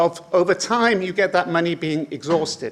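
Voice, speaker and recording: The speaker has a British accent and a fairly slow pace. Pitch variation is ordinary. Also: man. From Britain. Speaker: conference speaker on migration. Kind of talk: lecture. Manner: halting, many fillers.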